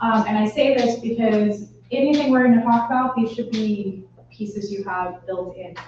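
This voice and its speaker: A woman talks in a plain, everyday voice at a moderate pace. Her pitch sits fairly high, and her intonation stays fairly even. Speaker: real estate trainer. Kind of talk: training workshop.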